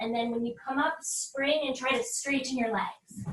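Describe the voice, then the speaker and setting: A woman with a high pitch, bright, sharp and energetic in tone, uses a raised, projected voice at a fairly slow pace with ordinary pitch variation. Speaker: yoga instructor. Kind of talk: guided yoga class. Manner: instructional, energetic.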